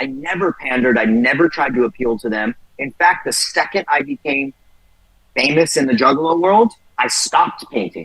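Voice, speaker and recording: A man with an American accent, fairly high-pitched, animated in tone and lively in intonation, at a moderate pace, in a dry, close recording with no echo. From San Jose, California (Bay Area). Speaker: rapper. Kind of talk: interview.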